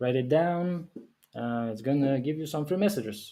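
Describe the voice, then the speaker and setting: A man with a non-native accent speaks in a dark, mellow tone with ordinary pitch variation. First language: not English. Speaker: game developer. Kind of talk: live stream. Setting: live stream. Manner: halting, many fillers.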